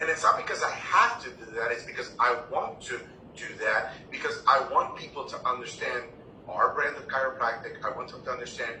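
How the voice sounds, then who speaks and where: A man talks at a fairly quick pace, with big swings in loudness. The audio carries audible room echo and noticeable background noise. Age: 60s. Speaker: chiropractic college president. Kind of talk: interview.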